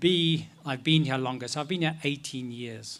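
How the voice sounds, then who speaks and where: Speaking with a non-native accent, a man has a bright, sharp tone, fairly high pitch, ordinary pitch variation, and a moderate pace. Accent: foreign. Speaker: paediatrician. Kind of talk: rally speech.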